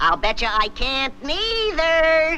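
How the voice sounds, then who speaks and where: Over clear background noise, a cartoonish character voice sounds squeaky at a high pitch. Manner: brash, wisecracking.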